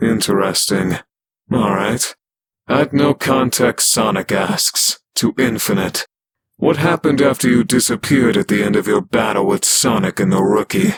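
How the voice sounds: Medium-pitched, moderately paced, a put-on character voice from a man.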